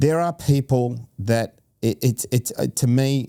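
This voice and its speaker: A man with an Australian accent and a dark, mellow tone, in a dry, close sound with no echo and a very clean recording over a silent background. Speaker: podcast host. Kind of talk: interview conversation. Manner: animated, passionate; repeats words, halting restarts.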